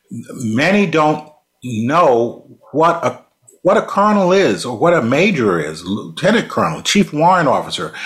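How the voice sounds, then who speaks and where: With vocal fry, a man speaks slowly at a fairly high pitch while his pitch swings very widely. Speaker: podcast co-host, retired official. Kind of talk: interview. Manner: formal.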